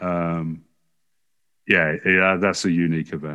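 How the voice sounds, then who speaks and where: A man with a very deep, low pitch and an English accent, fairly even intonation and a fairly slow pace. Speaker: sports journalist. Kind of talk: podcast interview.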